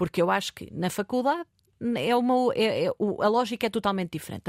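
On a very clean, dry, close recording with no echo and a silent background, a woman with a fairly high pitch speaks with lively intonation. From Portugal, Marinha Grande. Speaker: politician. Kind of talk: interview. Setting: studio. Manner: hesitant.

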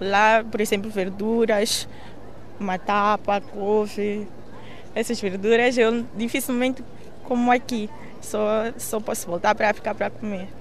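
Using a monotone, flat intonation, a woman with a fairly high pitch speaks at a fairly slow pace with long, frequent pauses. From Mozambique, Maputo. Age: 20s. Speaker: university student. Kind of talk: interview.

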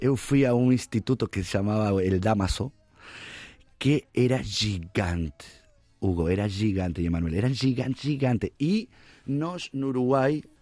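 A man talks with lively intonation over music in the background. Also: dry, close sound with no echo. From Uruguay. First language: Spanish (speaking Portuguese). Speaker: musician. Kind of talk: casual chat.

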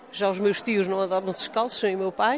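A woman speaks at a medium pitch with fairly even intonation. Noticeable background noise can be heard. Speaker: granddaughter of a war hero. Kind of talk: interview.

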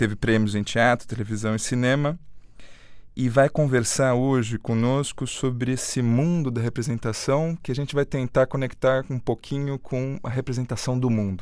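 A man at a moderate pace, medium-pitched with fairly even intonation, an unremarkable speaking voice on a very clean recording with a silent background. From Brazil. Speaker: radio host. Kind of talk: interview. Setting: studio.

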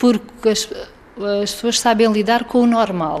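A woman talks at a moderate pace. Her voice is fairly high. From Portugal, Algarve (Faro). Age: 30s. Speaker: former resident of a children's care home. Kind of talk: interview testimony. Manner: halting.

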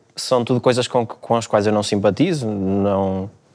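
The recording is very clean, with a silent background. A man speaks in a fairly low pitch with fairly even intonation. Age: 20s. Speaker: philosophy student. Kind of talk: panel discussion. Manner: halting.

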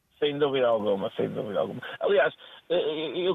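The man's voice is fairly high-pitched. He keeps a moderate pace. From northern Portugal, Póvoa de Varzim. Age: 40s. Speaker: football agent and scout. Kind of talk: interview. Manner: halting, repeats words.

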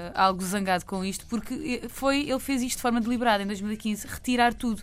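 A woman at a moderate pace with a European Portuguese accent and fairly even intonation. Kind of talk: radio segment, casual chat.

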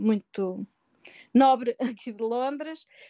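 A woman speaks at a very slow pace. Her pitch moves with ordinary variation. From Portugal, Pombal (Centro region). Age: 50s. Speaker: social worker, emigrant. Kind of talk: interview, personal life story. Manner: hesitant, frequent word repetitions.

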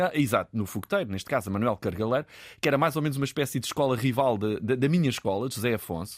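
On a very clean recording with a silent background, a man talks at a very fast pace with lively intonation. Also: medium pitch for a man. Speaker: television producer. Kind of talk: casual interview.

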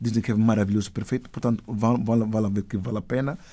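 Fairly low male voice, dark and mellow in tone, with fairly even intonation. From Equatorial Guinea, Spain and São Tomé. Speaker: actor and filmmaker. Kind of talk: interview.

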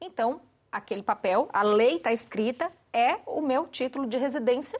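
Using lively intonation, a woman speaks in a high pitch with a Brazilian accent. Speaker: panelist commentator, immigrant in Portugal. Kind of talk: panel discussion.

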